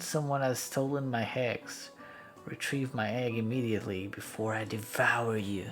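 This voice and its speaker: Over clear music in the background, a man puts on a rumbling character voice at a medium pitch, talking at a moderate pace. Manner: commanding, menacing.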